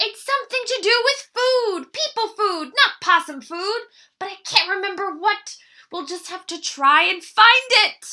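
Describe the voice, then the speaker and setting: Putting on a character voice, a woman speaks at a moderate pace at an extremely high pitch, with big swings in loudness. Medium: read story. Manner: warm, caring.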